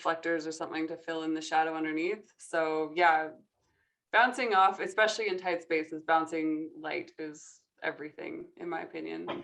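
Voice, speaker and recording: In a normal speaking voice, a woman talks at a moderate pace with fairly low pitch, fairly even intonation and big swings in loudness. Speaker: photographer and guest judge. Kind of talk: panel Q&A. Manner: casual, filler-heavy.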